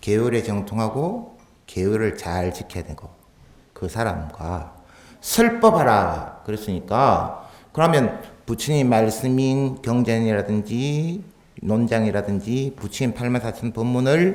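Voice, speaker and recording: A man with a Gyeongsang accent at a medium pitch, very slow in pace, lively in intonation, with big swings in loudness and audible room echo. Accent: Gyeongsang dialect, using it freely today. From Busan, Gyeongsang region, South Korea. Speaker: Buddhist monk giving a dharma talk. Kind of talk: sermon. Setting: temple hall with audience. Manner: conversational, with rhetorical questions.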